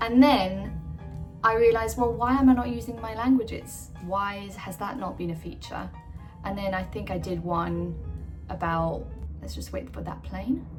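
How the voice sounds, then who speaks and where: Music behind a woman talking at a moderate pace. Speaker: actor. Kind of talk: casual talk to camera.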